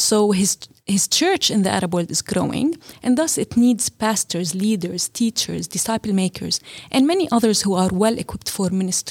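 A woman with a medium pitch and a somewhat breathy voice speaks at a moderate pace with lively intonation, in a dry, close sound with no echo. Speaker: seminary partnerships director. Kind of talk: interview.

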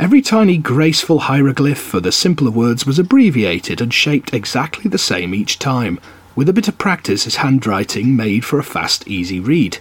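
The speech runs fairly quickly with hardly any pauses and very wide pitch swings, against noticeable background noise. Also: man, medium pitch for a man. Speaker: podcast host reading aloud. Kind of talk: literary audiobook reading of an essay. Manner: measured, steady, formal reading pace; relaxed, chatty in intro and outro.

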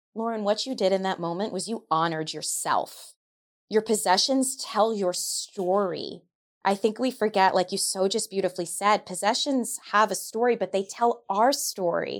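A woman with an American accent speaks at a medium pitch and a moderate pace, with ordinary pitch variation, in a plain, everyday voice. The recording is very clean with a silent background. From New York. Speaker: feng shui practitioner and coach. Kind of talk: interview.

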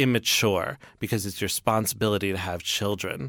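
On a very clean recording with a silent background, a man with an American accent talks at a moderate pace in a fairly low pitch, an unremarkable speaking voice. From New York City. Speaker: author. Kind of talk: interview.

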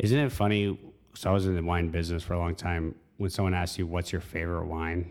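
A very fast-talking man with very deep, low pitch and fairly even intonation. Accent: American. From US South. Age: 30s. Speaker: wine industry manager. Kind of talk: casual chat.

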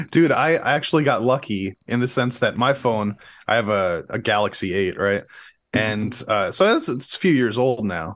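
Against a quiet background, a man with a medium pitch speaks at a moderate pace with lively intonation. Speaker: music reaction podcast co-host. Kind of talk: casual chat. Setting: live stream. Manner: halting, repeats words.

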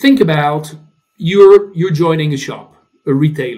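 This man speaks in a French accent. His pitch is fairly high. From France. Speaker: tech company CEO. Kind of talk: interview. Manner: halting.

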